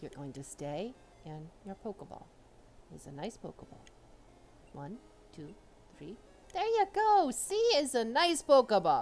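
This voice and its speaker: Someone uses a put-on character voice with fairly high pitch, moving at a moderate pace and leaving long, frequent pauses. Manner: playfully soothing.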